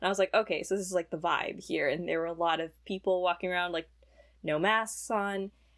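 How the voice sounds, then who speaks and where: A woman with a normal speaking voice and a fairly low pitch talks at a fairly quick pace in fairly even intonation, recorded very cleanly against a silent background. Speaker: college student and pianist. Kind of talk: casual interview.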